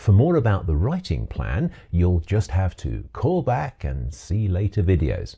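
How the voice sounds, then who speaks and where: A man's very deep, low voice with vocal fry and a dark, mellow tone, at a fairly slow pace, on a very clean recording with a silent background. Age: 60s. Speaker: retired teacher turned author and video maker. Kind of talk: scripted video monologue.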